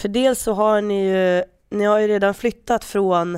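Fairly even intonation shapes a woman's speech, recorded very cleanly against a silent background. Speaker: football podcast co-host. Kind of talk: casual chat.

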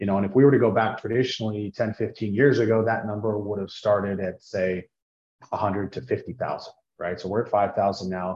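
A plain, everyday voice from a man with an American accent, fairly low in pitch, fairly even in intonation, at a moderate pace. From US Intermountain West. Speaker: business development director for a tax-advantaged insurance plan administrator. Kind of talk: interview, explaining a financial product.

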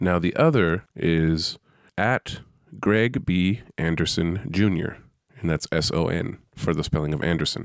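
A man with a very deep, low pitch, fairly slow in pace with ordinary pitch variation, on a very clean recording with a silent background. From US West Coast, San Francisco Bay Area. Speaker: podcast host, Air Force veteran. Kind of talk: solo podcast monologue. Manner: casual, with fillers.

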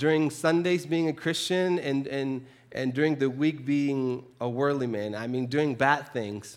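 Fairly slow male speech in a Spanish accent with ordinary pitch variation, on a very clean recording with a silent background. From Chile. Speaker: preacher. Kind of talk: sermon. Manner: halting, with frequent repetitions.

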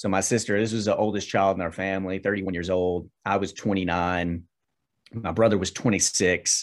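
Against a quiet background, a man talks with a very deep, low pitch. His pace is fairly quick and his intonation monotone and flat. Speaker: minister. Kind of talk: casual interview, personal testimony.

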